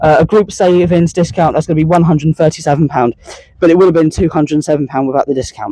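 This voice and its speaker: A man with a high voice speaks loudly at a very fast pace in a dark, mellow tone. The sound is dry and close, with no echo. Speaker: train spotting vlogger. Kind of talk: travel vlog walkthrough. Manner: hesitant, many fillers.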